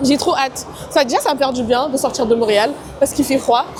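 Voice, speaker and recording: A woman speaks loudly at a high pitch and a moderate pace. Music plays in the background. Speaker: travel and lifestyle vlogger. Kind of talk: casual vlog talk to camera. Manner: animated.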